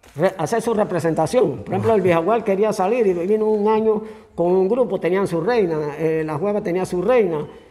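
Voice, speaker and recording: This man's voice sits at a high pitch. His pitch varies in an ordinary way. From Panama, Antón (Coclé). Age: 70s. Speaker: local historian. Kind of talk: interview. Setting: cultural center museum. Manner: casual storytelling.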